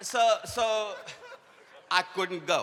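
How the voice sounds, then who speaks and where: The man projects a raised voice as noticeable noise sounds in the background. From India. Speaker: leadership speaker. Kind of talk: conference talk. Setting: stage with audience.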